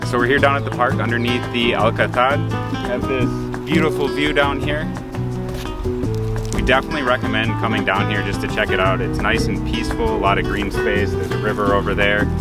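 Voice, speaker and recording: A man speaks at a fairly quick pace. Loud music plays behind him, and the sound is dry with no echo. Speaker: travel vlogger. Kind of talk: casual vlog chat. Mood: relaxed, upbeat. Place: open country.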